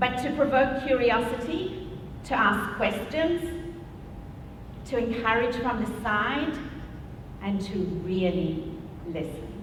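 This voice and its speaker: Speaking at a very slow pace with long, frequent pauses, a woman uses a fairly high pitch and lively intonation amid audible room echo and noticeable background noise. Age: 60s. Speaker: teacher and speaker. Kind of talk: talk to an audience.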